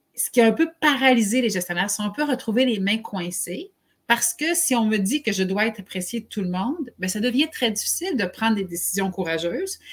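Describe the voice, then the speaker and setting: This woman's voice is fairly high and somewhat breathy. She talks at a fairly quick pace with lively intonation. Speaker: HR consultant and live show host. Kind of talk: live webcast discussion.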